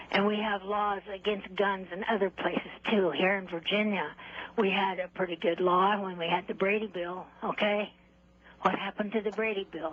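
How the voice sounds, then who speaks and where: With noticeable background noise, a woman at a medium pitch talks at a moderate pace in a monotone, flat intonation. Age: 80s+. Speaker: caller. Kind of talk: call-in comment.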